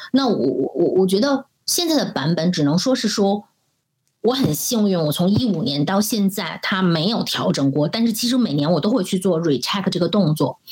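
A woman speaks at a moderate pace in a medium pitch, her loudness very even while her pitch swings very widely. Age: 40s. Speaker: marketing director. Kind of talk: interview conversation.

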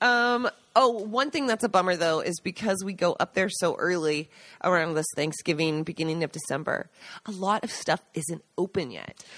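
A woman's ordinary speaking voice with an American accent at a moderate pace, on a very clean recording with a silent background. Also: medium pitch for a woman, lively intonation, dry, close sound with no echo. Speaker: podcast co-host, agriturismo owner. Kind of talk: casual chat.

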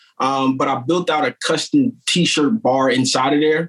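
With an American accent and ordinary pitch variation, a man speaks in dry, close sound with no echo over noticeable background noise. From Wilmington, Delaware, US. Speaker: t-shirt print shop owner. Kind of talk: casual podcast interview. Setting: kitchen at home, video call.

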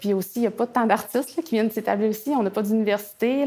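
Music plays in the background as a woman talks at a fairly quick pace with fairly even intonation. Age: 30s. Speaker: visual artist and author. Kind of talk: interview. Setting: artist studio.

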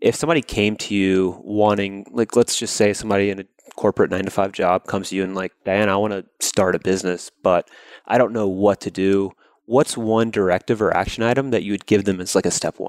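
On a very clean recording with a silent background and a dry, close sound with no echo, a man speaks with an American accent and an unremarkable speaking voice. His fairly low voice moves at a fairly quick pace with fairly even intonation. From US South, Georgia. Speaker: podcast host. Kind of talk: interview; scripted intro.

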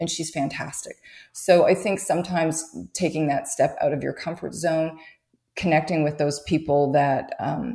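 A woman with a Canadian accent speaks at a moderate pace in a very deep, low voice, her dark, mellow tone carried on fairly even intonation. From Canada. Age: 50s. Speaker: photographer. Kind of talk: interview.

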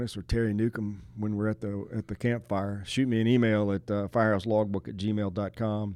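A man's unremarkable speaking voice, fairly low in pitch, with fairly even intonation. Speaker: podcast host, retired firefighter. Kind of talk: casual chat. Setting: in-person studio recording.

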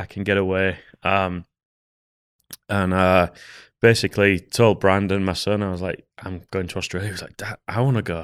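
In a Yorkshire accent, the speaker goes at a moderate pace with monotone, flat intonation and long, frequent pauses, on a very clean recording with a silent background. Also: man, very deep, low pitch for a man, big swings in loudness. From Yorkshire, northern England. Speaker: hunter. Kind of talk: casual chat. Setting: studio.

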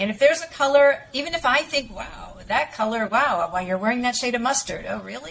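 Against noticeable background noise, a woman speaks at a fairly quick pace in a high voice whose pitch swings very widely. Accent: American. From western Massachusetts, Springfield area. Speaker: image consultant. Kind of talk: interview.

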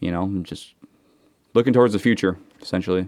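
A man speaks with an American accent in a very deep, low voice. His intonation stays fairly even. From Seattle, US Pacific Northwest. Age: 30s. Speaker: student and former commercial diver. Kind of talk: casual chat.

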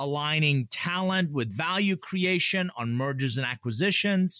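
A man's bright, sharp voice with very wide pitch swings, dry and close with no echo. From Atlanta, US South (immigrated from Iran as a child). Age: 50s. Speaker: author and business consultant. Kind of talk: interview conversation.

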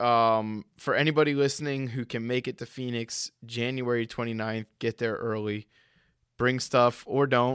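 Recorded very cleanly against a silent background, dry and close with no echo, a man with an unremarkable speaking voice talks fairly slowly at a medium pitch with fairly even intonation. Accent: American. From US Northeast, Rhode Island. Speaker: podcast host. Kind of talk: casual chat.

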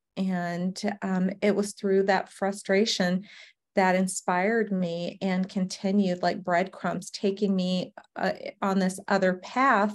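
A woman talks at a very slow pace with an American accent. Her intonation stays monotone and flat. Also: medium pitch for a woman, very clean recording, silent background. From US South, Savannah, Georgia. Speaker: company founder, registered nurse. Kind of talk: interview.

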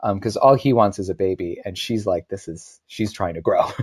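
A man with an American accent and an ordinary speaking voice talks fairly quickly at a fairly low pitch with ordinary pitch variation. The recording is very clean with a silent background and a dry, close sound with no echo. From US, Syracuse, New York. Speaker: actor. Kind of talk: casual interview chat.

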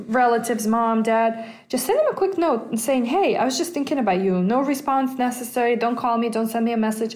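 Speaking in a Russian accent, a woman with a high pitch moves at a fairly quick pace with ordinary pitch variation. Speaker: personal finance podcast host. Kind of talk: casual solo podcast talk. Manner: hesitant, many fillers.

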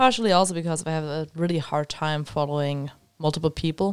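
A woman with a very deep, low pitch talks at a fairly quick pace with fairly even intonation, in a dry, close sound with no echo on a very clean recording with a silent background. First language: German. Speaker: podcast co-host. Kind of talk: casual chat.

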